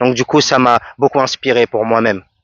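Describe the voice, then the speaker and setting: A man at medium pitch, with monotone, flat intonation and a moderate pace. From French Guiana. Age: 30s. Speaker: music producer and vocalist. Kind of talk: radio interview answer.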